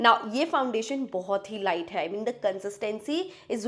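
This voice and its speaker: On a very clean recording with a silent background, a woman speaks in an animated tone with very wide pitch swings. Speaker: beauty YouTuber. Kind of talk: product review vlog. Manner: chatty, animated.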